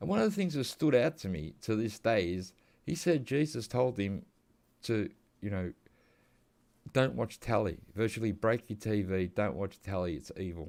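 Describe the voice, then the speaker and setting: A man with an Australian accent, fairly low pitch and lively intonation, at a moderate pace with long, frequent pauses, on a very clean recording with a silent background. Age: 50s. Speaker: gaming youtuber. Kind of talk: casual gameplay commentary. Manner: casual, meandering.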